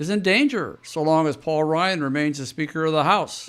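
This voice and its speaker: Speaking at a fairly quick pace, a man has a plain, everyday voice with a fairly high pitch. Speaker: political commentator. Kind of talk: political commentary monologue.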